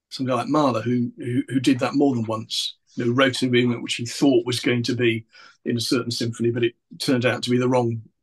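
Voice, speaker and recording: A somewhat breathy man speaks very fast in a monotone, flat intonation, with a dry, close sound and no echo. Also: medium pitch for a man. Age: 60s. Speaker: composer. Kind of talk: interview. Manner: halting.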